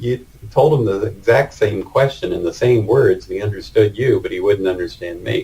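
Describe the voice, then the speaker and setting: A man with an American accent speaks fairly quickly, with noticeable background noise in the recording. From United States. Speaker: retired engineering manager interviewed about working in Vietnam. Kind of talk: casual interview.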